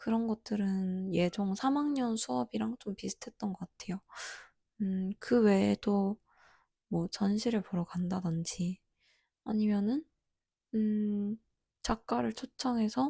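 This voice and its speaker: Speech comes at a very slow pace with long, frequent pauses, on a very clean recording over a silent background. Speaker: art graduate student vlogger. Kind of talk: casual vlog review.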